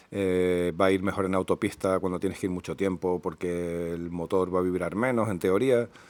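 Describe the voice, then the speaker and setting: In a very clean recording with a silent background, a man with a very deep, low pitch talks at a moderate pace with fairly even intonation and hardly any pauses. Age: 50s. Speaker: motorcyclist, enduro rider. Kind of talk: improvised casual talk about motorbikes. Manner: hesitant, many fillers.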